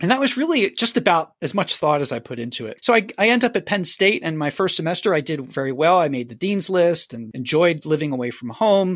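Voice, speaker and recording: A high-pitched man speaks at a fairly quick pace with very wide pitch swings. The recording is very clean, with a silent background. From US Northeast, Philadelphia. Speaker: musician. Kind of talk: interview. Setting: call.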